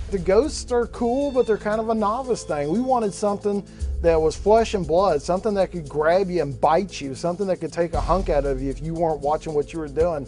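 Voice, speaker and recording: Music plays behind a man with an American accent and a high pitch. He talks at a fairly quick pace with lively intonation. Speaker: haunted house owner. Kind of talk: reality TV interview.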